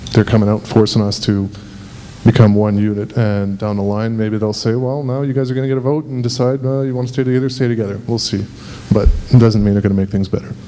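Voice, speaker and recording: A man with a medium-pitched voice talks at a very fast pace in fairly even intonation, with noticeable background noise and audible room echo. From Montreal, Quebec. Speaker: audience member. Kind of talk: public comment at meeting. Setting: public meeting hall with audience.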